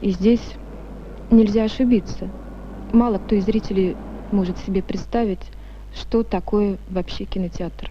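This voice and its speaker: A woman talks at a fairly slow pace, with long, frequent pauses. The sound is dry and echo-free over light background noise. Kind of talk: interview answer. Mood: calm, earnest. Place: hall. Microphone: old recording.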